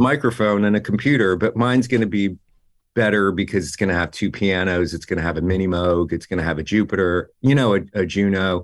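A man with a fairly low voice and an American accent uses a normal speaking voice, talking fairly quickly with ordinary pitch variation. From New Jersey. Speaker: music producer and engineer. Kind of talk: interview. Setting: video call. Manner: casual, full of filler words.

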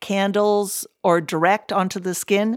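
A woman's unremarkable speaking voice at medium pitch, with fairly even intonation, a fairly slow pace, and a dry, close sound with no echo. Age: 60s. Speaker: dermatologist, professor. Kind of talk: interview.

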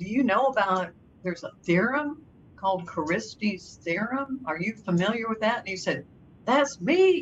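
This woman's fairly high voice is somewhat breathy and swings very widely in pitch. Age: 80s. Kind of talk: interview.

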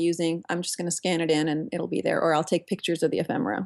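Speaking very fast, a woman uses a fairly low pitch and vocal fry. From Turkey. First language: Turkish. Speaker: software engineer and mixed-media artist. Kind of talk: interview.

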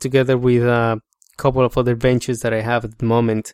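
With a Colombian accent, a man speaks in a dry, close sound with no echo. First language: Spanish. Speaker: podcast host. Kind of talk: solo podcast monologue. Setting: home office studio.

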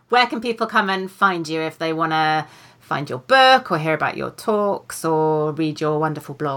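A woman with a British accent speaks at a moderate pace in a very deep, low voice with lively intonation, on a very clean recording with a silent background. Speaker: podcast host and author. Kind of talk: casual interview chat. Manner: warm, upbeat.

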